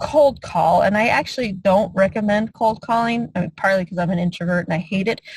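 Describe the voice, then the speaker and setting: Somewhat breathy and with lively intonation, a woman talks at a fairly quick pace. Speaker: real estate investor and mentor. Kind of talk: online mentoring call.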